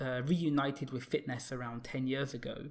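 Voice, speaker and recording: This man has a British accent and a fairly high pitch. He talks at a fairly quick pace with fairly even intonation. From UK. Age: 30s. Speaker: fitness content creator. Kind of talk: casual chat. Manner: halting, many fillers.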